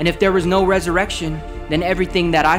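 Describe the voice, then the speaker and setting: A man is speaking with music playing in the background. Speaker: spoken word performer at a church. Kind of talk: spoken word poetry performance about Easter. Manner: rhythmic, rhyming, emphatic delivery.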